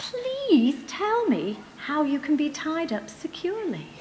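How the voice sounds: Faint background noise sits behind a woman doing a put-on character voice, high-pitched with very wide swings, a slightly mellow tone and a fairly slow pace.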